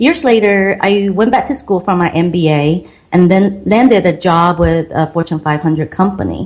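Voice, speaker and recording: Her voice is somewhat breathy and sits at a medium pitch. This woman talks at a moderate pace, her pitch varying in an ordinary way. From Taiwan. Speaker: online marketing consultant. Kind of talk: podcast interview, personal story.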